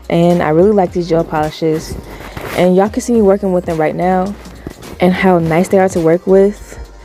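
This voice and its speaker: Over music in the background, a woman talks at a fairly quick pace and a fairly low pitch with fairly even intonation. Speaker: nail art youtuber. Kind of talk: voiceover tutorial. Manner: fast.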